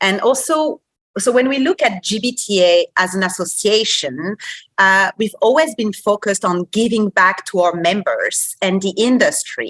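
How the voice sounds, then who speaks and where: Bright and sharp in tone, a woman with a French accent speaks at a fairly slow pace with lively intonation, the sound dry and close with no echo. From France, Paris. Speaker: association executive. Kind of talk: podcast interview.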